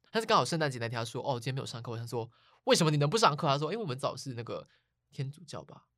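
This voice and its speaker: At a very fast pace, the words come through on a very clean recording with a silent background. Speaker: podcast host. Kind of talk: casual chat.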